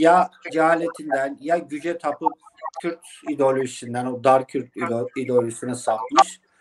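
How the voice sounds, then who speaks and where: With an Eastern Anatolian accent, a man speaks at a moderate pace in a fairly high pitch with fairly even intonation. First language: Zazaki (speaking Turkish). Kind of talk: interview.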